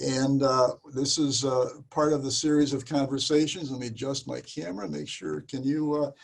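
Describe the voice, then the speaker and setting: A man at a medium pitch uses a normal speaking voice, keeping fairly even intonation and a moderate pace. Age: 60s. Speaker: interviewer for a diaconate office series. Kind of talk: interview; scripted introduction.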